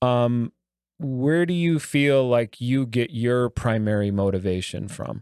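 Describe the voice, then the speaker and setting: A man's normal speaking voice at medium pitch, with ordinary pitch variation and a dry, close sound with no echo. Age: 50s. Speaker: podcast host. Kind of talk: casual interview.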